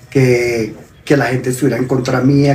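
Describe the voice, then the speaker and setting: Audible room echo surrounds the speaker. A man talks at a moderate pace. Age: 60s. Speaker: father of the host, sharing mental health experience. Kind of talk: testimony. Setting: live stream.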